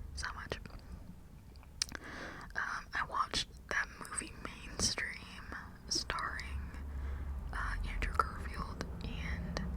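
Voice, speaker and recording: Someone whispers over noticeable background noise. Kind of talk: ASMR whisper ramble to camera. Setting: close condenser microphone recording. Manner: whispered, casual, chatty.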